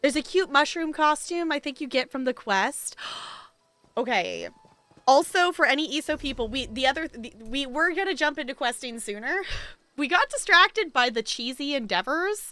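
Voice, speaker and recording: A woman's raised, projected voice, high in pitch, with lively intonation. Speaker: video game streamer. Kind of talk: live game stream chat. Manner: fast.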